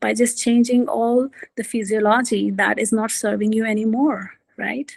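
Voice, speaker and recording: Delivery moves at a moderate pace. The somewhat breathy voice keeps a monotone, flat intonation. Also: woman, fairly high pitch for a woman. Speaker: executive coach. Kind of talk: talk with slides.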